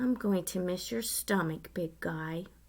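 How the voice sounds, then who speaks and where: Using a put-on character voice, a woman speaks fairly slowly at medium pitch with a raspy sound. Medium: read story. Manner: casual, bright.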